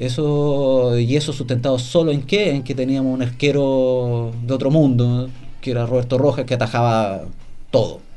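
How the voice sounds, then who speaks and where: With audible room echo, a man with a dark, mellow tone talks at medium pitch, keeping a moderate pace and fairly even intonation. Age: 30s. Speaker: football journalist. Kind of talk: casual chat.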